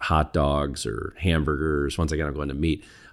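A man's very deep, low voice with vocal fry and ordinary pitch variation, in a very clean recording with a silent background. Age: 50s. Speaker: entrepreneur. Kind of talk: interview. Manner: halting, repeats words.

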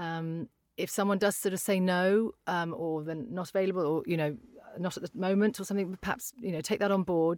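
A woman with a British accent at a fairly quick pace and ordinary pitch variation, in a very clean recording with a silent background. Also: medium pitch for a woman. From UK. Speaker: voiceover artist. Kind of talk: casual interview.

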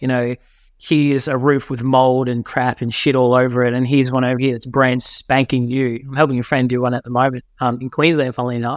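With an Australian accent, a man speaks at a fairly quick pace on a very clean recording with a silent background. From Australia, New South Wales. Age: 30s. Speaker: marketing consultant. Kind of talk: podcast interview.

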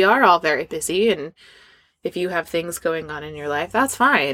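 Heard in a very clean recording with a silent background, a woman speaks in a fairly low pitch with a bright, sharp tone. Her pace is moderate and her pitch variation ordinary. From Scandinavia. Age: 30s. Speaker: performer and business owner. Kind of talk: casual chat. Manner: animated.

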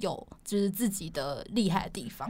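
Speaking in a normal speaking voice, a woman keeps a medium pitch and a moderate pace. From Taiwan. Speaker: former flight attendant now in tech sales. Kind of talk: casual interview chat.

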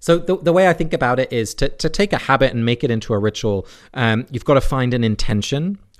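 A man in an English accent at medium pitch, very fast, with lively intonation over a quiet background. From England. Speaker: divinity scholar. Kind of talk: interview.

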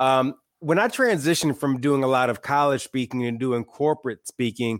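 A man with an American accent and an ordinary speaking voice talks at a fairly quick pace and medium pitch, with ordinary pitch variation, in a very clean, dry, close recording with a silent background and no echo. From Michigan, small town. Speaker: author and podcast host. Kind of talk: casual interview chat.

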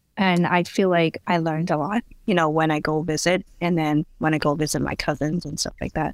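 A woman with a Chinese accent speaks at a very deep, low pitch and fairly even intonation. Her pace is fairly quick, with hardly any pauses. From Hong Kong. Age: 30s. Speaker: midwife. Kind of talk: casual interview.

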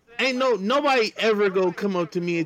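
Noticeable background noise surrounds a man talking at a fairly quick pace. The sound is dry and close, with no echo. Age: 30s. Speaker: podcast co-host. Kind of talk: casual chat.

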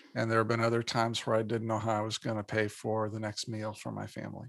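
A man with an American accent speaks at a very fast pace. His medium-pitched voice has a monotone, flat intonation. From Indiana, US Midwest. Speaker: psychologist and business author. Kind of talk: interview.

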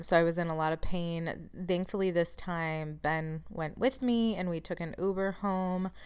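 A woman with a plain, everyday voice, a fairly low pitch and fairly even intonation, at a moderate pace with hardly any pauses, in a very clean recording with a silent background. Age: 30s. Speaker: podcast host and chronic illness support coach. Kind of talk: solo podcast monologue. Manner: casual, laughs at times.

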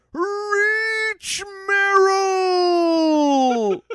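Someone performs a put-on character voice. It sits extremely high in pitch. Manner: loud, urgent shout.

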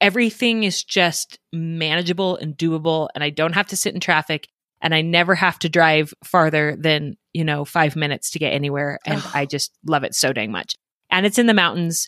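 A woman's animated, bright, sharp voice in a General American accent, fairly low in pitch with ordinary pitch variation, at a moderate pace, with a dry, close sound and no echo. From Colorado, Denver suburbs. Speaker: podcast host for moms. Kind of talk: casual interview and storytelling. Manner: animated, laughing.

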